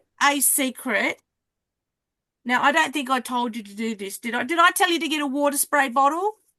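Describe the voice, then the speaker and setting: In an Australian accent, a woman speaks at a high pitch in a raised, projected voice with a bright, sharp tone, lively intonation and big swings in loudness. Her moderate pace is broken by long, frequent pauses, and the sound is dry and close with no echo. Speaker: card making teacher. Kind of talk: online craft class.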